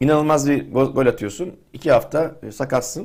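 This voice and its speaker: A man speaks at a fairly high pitch. His voice has vocal fry. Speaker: football pundit. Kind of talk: casual chat.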